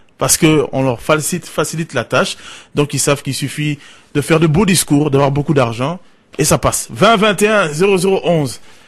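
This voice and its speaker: Lively intonation runs through this somewhat breathy voice. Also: man. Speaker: radio call-in host. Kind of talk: call-in radio show.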